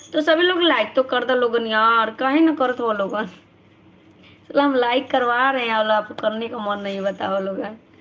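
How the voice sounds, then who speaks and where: A woman's high voice at a fairly slow pace amid noticeable background noise. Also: ordinary pitch variation. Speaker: live-stream vlogger. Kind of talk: casual live-stream chat reading comments. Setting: live stream.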